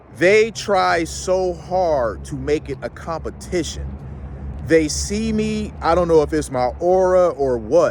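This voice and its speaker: The man talks very slowly. Background noise can be clearly heard. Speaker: YouTube commentator. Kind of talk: casual vlog monologue. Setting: outdoors, walking in a city. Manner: casual, conversational.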